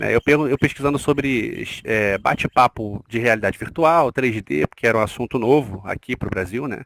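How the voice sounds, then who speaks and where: Recorded with a dry, close sound and no echo, a man with a Rio de Janeiro accent speaks at medium pitch with vocal fry and ordinary pitch variation. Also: moderate pace, hardly any pauses. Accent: Carioca Brazilian Portuguese. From Rio de Janeiro, Brazil. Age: 40s. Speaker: nurse, interview guest. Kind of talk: podcast interview. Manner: hesitant, with fillers.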